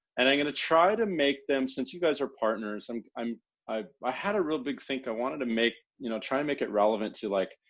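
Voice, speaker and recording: In a plain, everyday voice with an American accent, a man talks at a fairly quick pace with lively intonation. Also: medium pitch for a man. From USA. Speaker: solutions engineer. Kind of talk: partner training presentation. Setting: room with audience. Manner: casual, many filler words.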